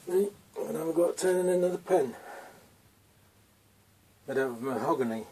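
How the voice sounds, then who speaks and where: Mumbling at a moderate pace, a man leaves long, frequent pauses. His intonation is lively, and there is light background noise. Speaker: hobby wood turner. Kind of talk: casual workshop commentary. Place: workshop. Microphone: phone near.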